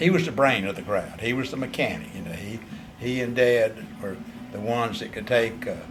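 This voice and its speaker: Speaking with an eastern North Carolina accent, a man with a medium pitch shows big swings in loudness, with audible room echo and music in the background. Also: ordinary pitch variation, fairly quick pace. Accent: US Southern (eastern North Carolina). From North Carolina, Bladen County. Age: 70s. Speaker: vineyard owner. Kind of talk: interview.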